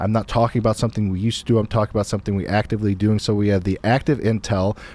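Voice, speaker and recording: On a very clean recording with a silent background, a man mumbles at a very fast pace in a fairly low, dark, mellow voice, with monotone, flat intonation and very even loudness. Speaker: podcast host, real estate investor. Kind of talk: casual chat. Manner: mumbling.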